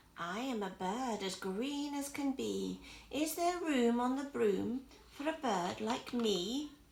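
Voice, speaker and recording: A woman puts on a character voice that is high-pitched and shrill. She speaks at a fairly slow pace. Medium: read story.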